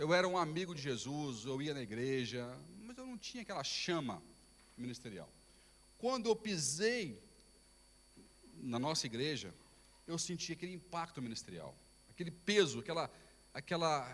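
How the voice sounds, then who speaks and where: Pausing long and often, a man speaks at a moderate pace in a fairly high voice with very wide pitch swings and big swings in loudness. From Brazil. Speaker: pastor. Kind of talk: sermon. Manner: halting.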